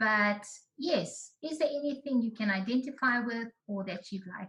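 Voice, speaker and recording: Lively intonation in a plain, everyday voice, a woman's, pitched fairly high. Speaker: researcher presenting findings. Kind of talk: online presentation.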